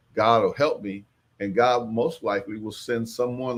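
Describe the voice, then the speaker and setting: Medium-pitched male speech in a normal speaking voice, the intonation fairly even. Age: 60s. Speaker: farmer and agriculture trainer. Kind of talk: livestream talk.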